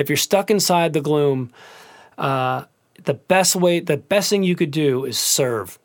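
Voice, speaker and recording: Speaking with an American accent, a man has a fairly high pitch and ordinary pitch variation. The recording is very clean, with a silent background. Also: fairly slow pace. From US Midwest, Cleveland, Ohio. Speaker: singer and pianist. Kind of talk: casual interview. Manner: animated.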